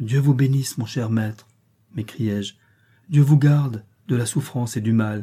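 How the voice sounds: A natural reading voice, its pitch moving in an ordinary way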